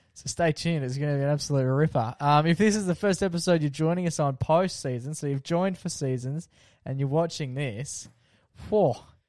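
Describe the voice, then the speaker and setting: In an Australian accent, a man talks at a fairly quick pace against a quiet background. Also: fairly high pitch for a man, ordinary pitch variation. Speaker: podcast host. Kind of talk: casual chat. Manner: animated.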